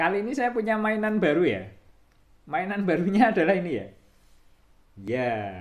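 Against a quiet background, a man talks at a fairly quick pace with a high pitch and lively intonation. He leaves long, frequent pauses. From Indonesia. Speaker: guitar shop owner and technician. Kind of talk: video tutorial / product showcase. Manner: casual, repetitive fillers. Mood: cheerful, relaxed. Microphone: phone near.

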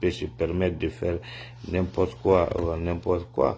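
Over light background noise, a man speaks at a moderate pace in a very deep, low voice. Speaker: political commentator. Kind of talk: opinion vlog message. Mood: indignant, disappointed. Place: home room. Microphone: phone near.

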